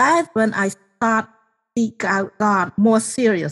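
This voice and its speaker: With a Cambodian accent, the speaker talks at a fairly slow pace, somewhat breathy and fairly even in intonation, in a dry, close sound with no echo. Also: woman. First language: Khmer. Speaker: genocide survivor and author. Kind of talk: testimony.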